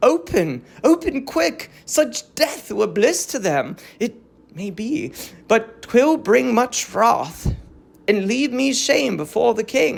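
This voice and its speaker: A put-on character voice, strained and fairly high in pitch, moves at a very slow pace. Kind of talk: classical tragic verse. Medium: read story. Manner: formal, constrained.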